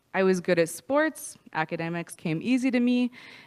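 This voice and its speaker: A woman with a Prairie accent talks at a moderate pace, her pitch fairly low and her intonation lively. The recording is very clean, with a silent background. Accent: Canadian English, prairies. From Canada, Saskatoon, Saskatchewan. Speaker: recovery speaker. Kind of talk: testimony.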